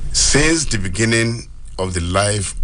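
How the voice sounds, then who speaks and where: Through noticeable background noise comes a man's very deep, low voice with lively intonation. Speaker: politician. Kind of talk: radio interview answer.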